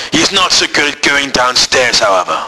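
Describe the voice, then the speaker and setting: Noticeable background noise sits under speech delivered at a moderate speed. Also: man. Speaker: school IT teacher. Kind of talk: spoof nature documentary narration.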